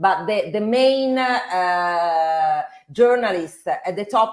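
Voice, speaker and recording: In an Italian accent, a woman talks with ordinary pitch variation. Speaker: financial journalist. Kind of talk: interview discussion. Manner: halting.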